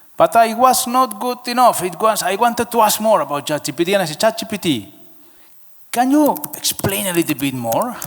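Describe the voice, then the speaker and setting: The speaker's intonation is lively. The pace is fairly quick. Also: man, high pitch for a man. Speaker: packaging business manager, conference speaker. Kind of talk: conference presentation. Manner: halting, repetitive.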